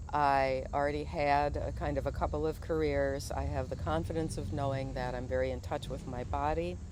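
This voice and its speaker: A woman speaks at a moderate pace with a very deep, low pitch, vocal fry, and hardly any pauses. Her pitch swings very widely, and the room echo is audible. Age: 60s. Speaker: video blogger, retired teacher. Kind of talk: monologue commentary. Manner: halting, many fillers.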